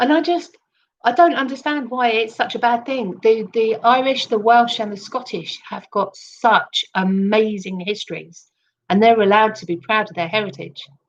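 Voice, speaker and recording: With an English accent, a woman talks at a moderate pace in a fairly high voice with lively intonation. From England. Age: 50s. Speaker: livestreamer. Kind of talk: live stream monologue. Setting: live stream. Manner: halting.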